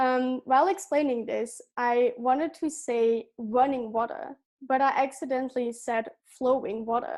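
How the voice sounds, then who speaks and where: A woman with a Dutch accent speaks at a fairly slow pace with hardly any pauses. Her pitch is high, with ordinary variation. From Belgium. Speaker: gap year student. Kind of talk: prepared presentation.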